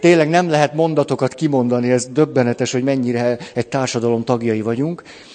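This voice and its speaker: A man rattles along at a very fast pace as noticeable background noise carries on behind him. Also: medium pitch for a man, hardly any pauses. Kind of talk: lecture. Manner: animated.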